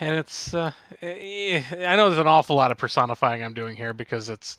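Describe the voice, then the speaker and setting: With a Midwestern US accent, a man speaks fairly quickly at a fairly high pitch, his intonation lively and his loudness swinging widely, in a dry, close recording with no echo. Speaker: podcast guest co-host. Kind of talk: casual chat. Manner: halting.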